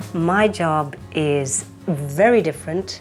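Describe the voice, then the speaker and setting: A woman with a fairly low pitch and lively intonation speaks with music in the background. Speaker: auctioneer, castle estate agent. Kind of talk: TV documentary interview and property tour.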